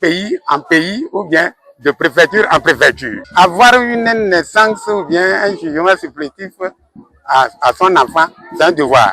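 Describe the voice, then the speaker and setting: Music plays behind a man with a high voice, the sound dry and close with no echo. He speaks at a very slow pace with lively intonation and long, frequent pauses. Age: 60s. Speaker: school director. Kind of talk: interview. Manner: halting.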